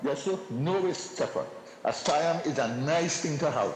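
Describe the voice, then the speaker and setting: With audible room echo and noticeable background noise, a man with a Trinidadian accent talks at a high pitch with ordinary pitch variation. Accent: Trinidadian English Creole. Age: 70s. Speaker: caller. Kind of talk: call-in comment. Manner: halting, repetitive.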